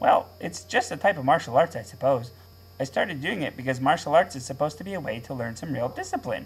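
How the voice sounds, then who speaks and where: This man speaks in a cartoonish character voice with a fairly high pitch. His pace is very fast. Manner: earnest, naive.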